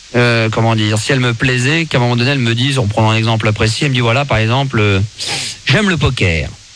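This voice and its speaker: Noticeable noise sits behind a man whose pitch varies in an ordinary way. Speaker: radio host. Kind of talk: late-night radio monologue. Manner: confiding, conversational.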